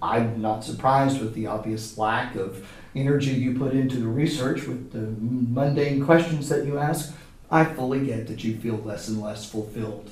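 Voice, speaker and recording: A man speaks at a medium pitch. Noticeable background noise and audible room echo surround his voice. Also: ordinary pitch variation, moderate pace. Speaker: high school theater teacher. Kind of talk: comedic interview. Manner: loud, projecting; formal.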